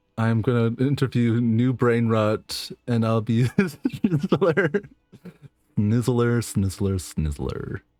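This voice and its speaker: A man talks at a very slow pace with very even loudness. Music plays in the background. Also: medium pitch for a man, lively intonation. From western Canada. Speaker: streamer. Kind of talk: casual chat. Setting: live stream. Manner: halting; over-enunciates at times.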